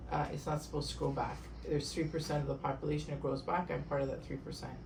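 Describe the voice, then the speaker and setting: Over noticeable background noise and audible room echo, a woman talks with a Canadian accent. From Canada, Toronto. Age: 60s. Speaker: eye surgery patient. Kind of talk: testimony. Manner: halting, repetitive.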